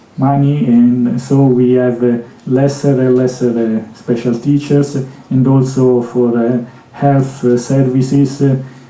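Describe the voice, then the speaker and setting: A man's medium-pitched voice at a very slow pace, with very even loudness and fairly even intonation, plus audible room echo and noticeable background noise. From Italy. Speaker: conference speaker with Asperger syndrome. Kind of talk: Q&A answer at conference. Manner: halting, many fillers and repetitions.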